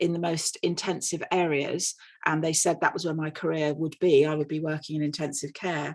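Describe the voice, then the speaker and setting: A woman with an English accent at a moderate pace, over a quiet background. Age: 60s. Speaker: nurse. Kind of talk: conference panel talk.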